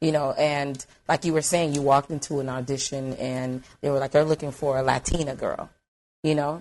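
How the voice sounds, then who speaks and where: The speaker has a Haitian accent. The pace is fairly quick. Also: woman, very deep, low pitch for a woman. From United States, Haitian family. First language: Haitian Creole. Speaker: podcast guest. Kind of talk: casual chat. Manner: animated.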